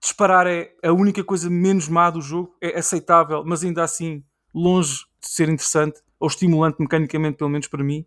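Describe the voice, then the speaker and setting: Here a man with a high pitch talks at a fairly quick pace in a monotone, flat intonation. The recording is very clean, with a silent background and a dry, close sound with no echo. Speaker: gaming podcaster. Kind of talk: casual chat.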